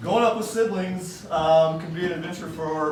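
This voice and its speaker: The voice moves at a moderate pace. Audible room echo and noticeable background noise come through. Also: man. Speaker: best man. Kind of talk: wedding speech. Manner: loud.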